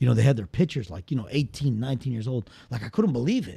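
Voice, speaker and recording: Lively in intonation, a man with an American accent speaks in a dark, mellow, somewhat breathy tone. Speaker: guest. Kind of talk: casual chat.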